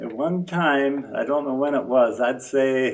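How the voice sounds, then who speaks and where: A man with an American accent at a very slow pace, with audible room echo. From eastern Iowa, Jackson County. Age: 80s+. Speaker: longtime local resident. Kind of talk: interview. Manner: halting.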